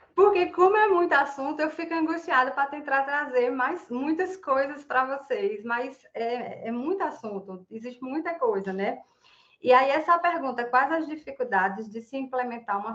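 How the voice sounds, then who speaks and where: Lively intonation carries this speech at a moderate pace. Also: woman. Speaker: environmental activist speaker. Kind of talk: online talk presentation. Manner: animated.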